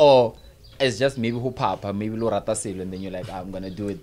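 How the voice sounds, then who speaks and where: A man with a fairly low pitch, a plain, everyday voice, and ordinary pitch variation. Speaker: podcast host. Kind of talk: casual podcast chat. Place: studio. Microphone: studio mic.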